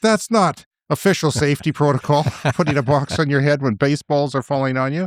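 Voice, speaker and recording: Someone with a western Canadian accent speaks at a fairly quick pace in a very clean recording with a silent background and a dry, close sound with no echo. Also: man. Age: 50s. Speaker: podcast co-host. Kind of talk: casual chat. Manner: animated.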